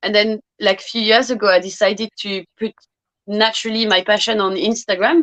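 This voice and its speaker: Her pitch is fairly high. This woman speaks at a fairly quick pace. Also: ordinary pitch variation, dry, close sound with no echo. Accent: French. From France, Brittany. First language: French. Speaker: fragrance youtuber. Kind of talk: interview.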